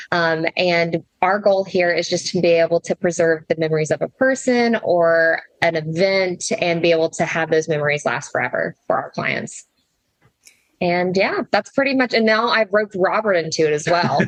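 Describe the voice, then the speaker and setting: A woman with a slight Southern US accent talks at a moderate pace in a fairly low pitch, her loudness staying very even. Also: ordinary pitch variation, dry, close sound with no echo. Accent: slight Southern twang. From US South, Tennessee. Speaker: flower preservation business owner. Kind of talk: casual interview. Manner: animated.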